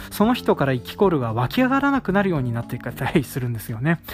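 Over music in the background, a man speaks very fast with very wide pitch swings. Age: 30s. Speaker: rice farmer and podcast host. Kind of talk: casual solo talk.

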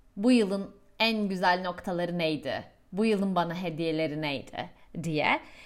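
Speech comes at a fairly slow tempo with ordinary pitch variation. It is a plain, everyday voice. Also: woman, fairly low pitch for a woman. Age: 30s. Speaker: podcast host and coach. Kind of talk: monologue with self-help tips.

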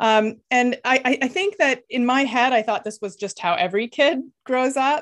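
A woman talks at a moderate pace with a Canadian accent. Her pitch is high and her intonation lively. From Canada, child of Lithuanian immigrants. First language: Lithuanian. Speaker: neuroscientist and opera singer. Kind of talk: interview. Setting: remote call.

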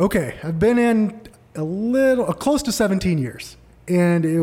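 With an American accent, a man speaks in a dark, mellow tone and lively intonation. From Arizona, Tempe. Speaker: mortgage broker. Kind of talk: casual chat.

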